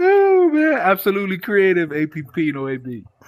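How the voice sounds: In a put-on character voice, the speaker mumbles at a moderate pace, with very wide swings in pitch and big jumps in loudness. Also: man, high pitch for a man.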